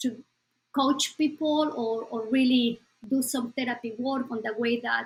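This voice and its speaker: Fairly high in pitch, a woman speaks with a Spanish accent and fairly even intonation. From Bolivia. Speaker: psychologist. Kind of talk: interview.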